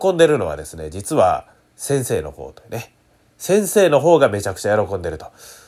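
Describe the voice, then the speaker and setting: A man with a Kansai accent speaks in an animated tone. The recording is very clean, with a silent background. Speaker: rakugo performer hosting a solo radio talk show. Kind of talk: solo podcast monologue. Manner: fast near the end.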